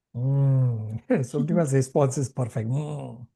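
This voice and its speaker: Very slowly, a man speaks in a dark, mellow, somewhat breathy voice. His intonation is fairly even. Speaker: spiritual teacher. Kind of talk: online class with discussion.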